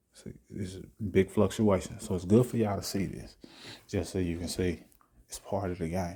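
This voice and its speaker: A soft-spoken man talks in a very deep, low voice, somewhat breathy with a dark, mellow tone. The recording is very clean, with a silent background. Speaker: trading video creator. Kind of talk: live trading commentary. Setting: at home late at night.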